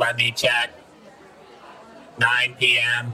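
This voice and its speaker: Someone speaks in a put-on character voice over clear background noise. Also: man, medium pitch for a man. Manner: flat, robotic, polite, says bro.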